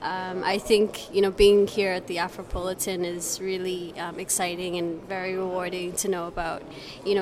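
A woman's medium-pitched voice with a Canadian accent and fairly even intonation over noticeable background noise. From Canada. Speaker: festival visitor, student. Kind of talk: street interview. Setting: festival venue.

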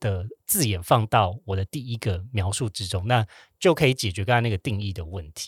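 Recorded very cleanly against a silent background, a man with a fairly low pitch sounds somewhat breathy in a dry, close space with no echo. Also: ordinary pitch variation, moderate pace. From Taiwan. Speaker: podcast host. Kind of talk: casual chat. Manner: animated.

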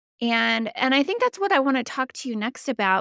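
This is a woman's voice. The background is silent and the recording very clean. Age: 40s. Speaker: podcast host. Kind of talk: casual interview chat.

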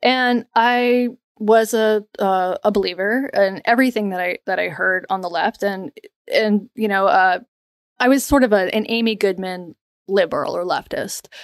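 Recorded with a dry, close sound and no echo, a woman with an American accent and a plain, everyday voice speaks at a moderate pace, her fairly high pitch showing ordinary variation. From US South, North Carolina. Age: 30s. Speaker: journalist and podcast co-host. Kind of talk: interview.

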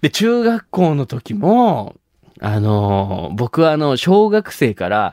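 The voice swings very widely in pitch, recorded very clean with a silent background and a dry, close sound with no echo. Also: man. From Nagasaki, Japan (Shimabara). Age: 20s. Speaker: comedian. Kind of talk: solo monologue. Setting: studio.

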